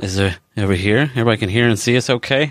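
This man talks at a very fast pace, his intonation lively. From Kentucky. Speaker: podcast co-host. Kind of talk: casual livestream chat. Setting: Facebook live video stream.

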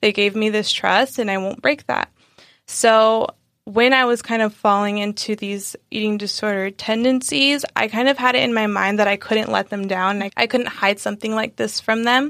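Here a woman with a fairly high pitch speaks at a moderate pace with fairly even intonation. The recording is very clean with a silent background. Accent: American. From San Diego, California. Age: 20s. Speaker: vegan recipe creator. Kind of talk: casual interview.

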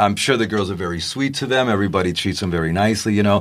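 Racing at a very fast pace, a man with a very deep, low pitch and vocal fry speaks with lively intonation. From Puerto Rico. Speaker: chef and restaurant owner. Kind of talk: casual interview.

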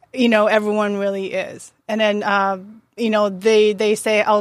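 A woman of medium pitch with a Japanese accent, at a moderate pace, in monotone, flat intonation. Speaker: chef. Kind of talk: casual chat.

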